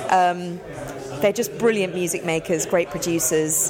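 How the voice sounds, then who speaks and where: A woman's fairly low voice at a moderate pace with ordinary pitch variation, plus audible room echo and crowd noise in the background. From South Africa. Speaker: radio broadcaster. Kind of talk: casual interview chat. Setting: pub.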